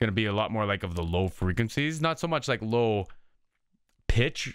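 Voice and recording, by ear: A man's fairly low voice at a moderate pace, fairly bright, clear and smooth in tone, with lively intonation.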